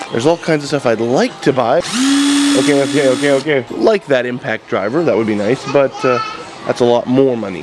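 Noticeable background noise sits under this man's voice. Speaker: vlogger and parent; vlogger. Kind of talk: casual vlog narration. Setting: car and home center store. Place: shop. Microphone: phone near.

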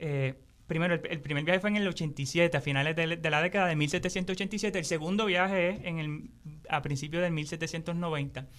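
A man speaks at a high pitch and a fairly slow pace. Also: fairly even intonation. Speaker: agroecology teacher. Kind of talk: interview. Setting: studio.

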